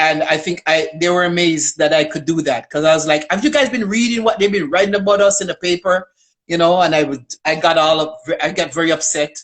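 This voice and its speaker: A woman with an unremarkable speaking voice talks at a fairly quick pace. Her pitch is fairly low, with ordinary variation. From Toronto, Canada (Jamaican parents, arrived 1975). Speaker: community worker. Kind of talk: interview.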